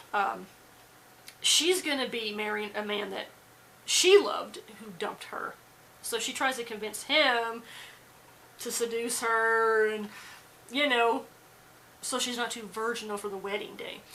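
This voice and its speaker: At a fairly slow pace, a woman with a fairly high voice speaks with big swings in loudness and long, frequent pauses, with audible room echo around her. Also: ordinary pitch variation. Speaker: movie reviewer. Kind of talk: casual movie review monologue. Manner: halting, with false starts.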